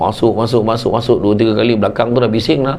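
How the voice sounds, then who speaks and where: A man speaks at a very fast pace in an animated tone, his pitch medium. Background noise is noticeable. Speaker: Islamic preacher. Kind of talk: humorous religious talk.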